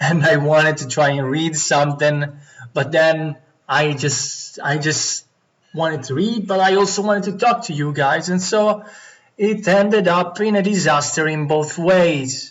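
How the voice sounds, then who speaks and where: A man with an Italian accent speaks at a fairly slow pace, his pitch fairly high with ordinary variation. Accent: non-native English, Italian. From Italy. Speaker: Go player streamer. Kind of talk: live game commentary.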